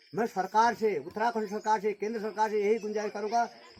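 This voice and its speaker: A man talks in a high pitch. Noticeable background noise runs behind him. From Uttarakhand, Almora (Kumaon hills). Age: 50s. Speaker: farmer. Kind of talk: interview statement.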